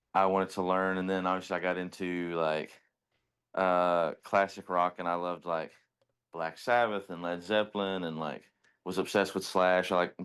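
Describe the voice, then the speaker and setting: Against a quiet background, a man with a Kentucky accent talks at a moderate pace in a very deep, low voice with monotone, flat intonation. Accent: Kentucky country. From Eastern Kentucky, US. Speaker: musician in a band. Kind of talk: casual interview.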